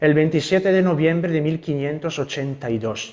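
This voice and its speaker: With an Italian accent, a man speaks at a moderate pace and a fairly high pitch. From Italy. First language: Italian (speaking Spanish). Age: young. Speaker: Carmelite friar. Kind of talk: lecture. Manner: halting.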